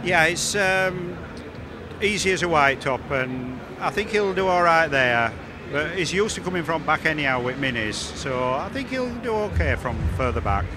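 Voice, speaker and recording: With noticeable background noise and audible room echo, a man speaks at a fairly high pitch, his voice swinging very widely in pitch. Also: moderate pace. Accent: Yorkshire. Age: 60s. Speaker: retired stock car racing driver. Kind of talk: interview.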